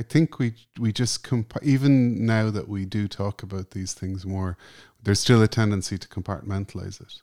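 A man with an Irish accent speaks in a calm tone, fairly low in pitch with a dark, mellow tone, ordinary pitch variation and big swings in loudness, in a very clean recording with a silent background and a dry, close sound with no echo. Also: moderate pace. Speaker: journalist and musician. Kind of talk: interview conversation.

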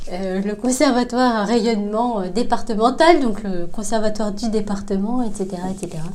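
Room echo is audible as a woman speaks at a fairly slow pace, with hardly any pauses and ordinary pitch variation. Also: fairly high pitch for a woman. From Paris region, Vitry-sur-Seine. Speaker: French teacher. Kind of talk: casual interview. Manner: hesitant, frequent laughs.

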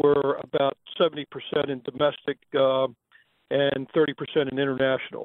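The speaker is a man. His voice sits fairly high. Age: 70s. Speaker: caller. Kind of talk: phone-in question. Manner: halting, many fillers.

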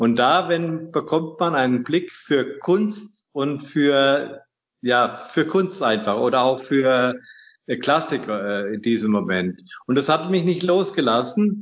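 Here a man speaks in a fairly high voice at a very slow pace. His pitch swings very widely. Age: 60s. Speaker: inventor, retired master mason and engineer. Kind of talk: interview. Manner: halting.

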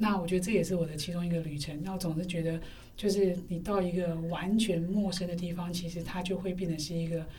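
A woman speaks very fast in a fairly low pitch with monotone, flat intonation. Noticeable background noise and audible room echo surround her voice. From Taipei, Taiwan. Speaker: university lecturer. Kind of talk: casual interview chat. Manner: hesitant, many fillers.

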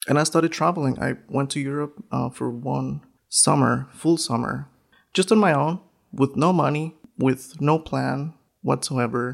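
Someone speaks with a Spanish accent in a very clean recording with a silent background. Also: fairly slow pace. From northern Mexico. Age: 30s. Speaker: photographer and educator. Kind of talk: interview.

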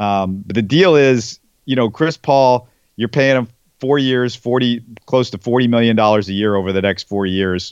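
In an American accent, a man with a medium-pitched voice speaks at a moderate pace with ordinary pitch variation, an ordinary speaking voice. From Texas, Houston. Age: 40s. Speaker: sports podcast host. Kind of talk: casual interview.

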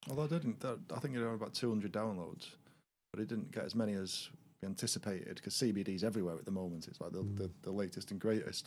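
Speaking at a very fast pace, a man with a Lancashire accent uses a fairly low pitch. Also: ordinary pitch variation. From Lancashire, northwest England. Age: 40s. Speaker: podcast guest. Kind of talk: casual chat.

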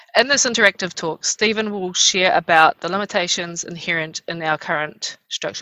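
Speaking at a fairly quick pace, a woman with a New Zealand accent has a fairly low pitch. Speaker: university program lead moderating an interview. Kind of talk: moderated interview with opening prayer in Māori. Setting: online video event. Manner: hesitant, many fillers.

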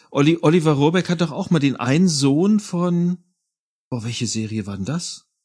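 A man speaks at a moderate pace with very wide pitch swings. The recording is very clean and the background silent. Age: 40s. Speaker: audio drama producer and composer. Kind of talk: casual chat.

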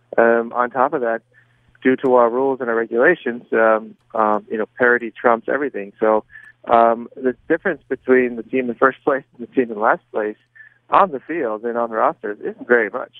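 A man with an American accent and a plain, everyday voice: medium pitch, moderate pace, fairly even intonation. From US, Southern California. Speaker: soccer coach. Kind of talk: interview.

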